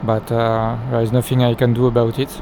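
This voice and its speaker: A man talks at a medium pitch while noticeable background noise carries on around him. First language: not English. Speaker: flight simulator gameplay youtuber. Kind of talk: tutorial. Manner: halting, many fillers.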